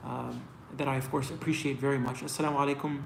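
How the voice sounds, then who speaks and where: A man with an American accent, very fast and monotone in flat intonation, with noticeable background noise and audible room echo. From US East Coast, Washington DC area. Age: 30s. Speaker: singer. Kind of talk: live Q&A stream. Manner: casual, filler-heavy.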